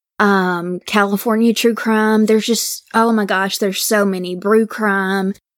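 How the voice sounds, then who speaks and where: In an American accent, a woman talks at a fairly slow pace and medium pitch with monotone, flat intonation, very even loudness and hardly any pauses, on a very clean recording with a silent background. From Mississippi, US South. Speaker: true crime podcaster. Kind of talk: case storytelling; casual interview chat.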